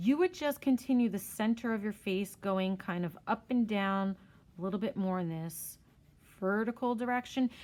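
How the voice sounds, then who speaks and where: A woman speaks at medium pitch with ordinary pitch variation in a very clean recording with a silent background. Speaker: art teacher. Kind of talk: tutorial. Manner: fast.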